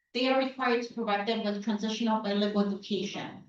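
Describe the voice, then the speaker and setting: Her voice fairly high-pitched, a woman speaks with fairly even intonation amid audible room echo. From Chicago (Pilsen area), US Midwest. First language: Spanish. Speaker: school board member. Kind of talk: public presentation. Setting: community town hall meeting.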